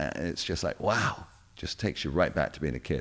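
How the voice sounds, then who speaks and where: A man with a British accent talks at a moderate pace with vocal fry, in a very clean recording with a silent background. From England. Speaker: radio DJ and producer. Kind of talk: interview answer.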